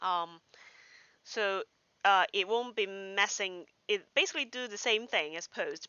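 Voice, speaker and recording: Medium-pitched woman's voice with a Cantonese accent, fairly slow in pace. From Hong Kong. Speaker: software developer streamer. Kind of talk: live coding tutorial. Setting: home livestream. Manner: halting, many fillers.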